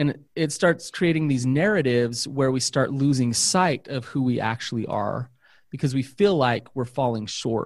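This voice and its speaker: A man talks at a moderate pace and medium pitch with an unremarkable speaking voice. The recording is very clean with a silent background. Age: 40s. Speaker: therapist. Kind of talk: casual chat.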